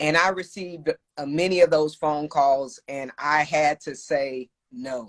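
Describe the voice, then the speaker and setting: A woman with an American accent and a very deep, low pitch speaks at a fairly slow pace with fairly even intonation and big swings in loudness, in a dry, close sound with no echo. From Texas, Austin. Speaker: cybersecurity professional and entrepreneur. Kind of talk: casual interview. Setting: Instagram live video call.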